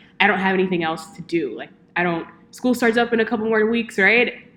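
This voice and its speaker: A woman's unremarkable speaking voice, fairly quick in pace, with lively intonation. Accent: American. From Texas, Houston. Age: 20s. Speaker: podcast co-host. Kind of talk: casual chat.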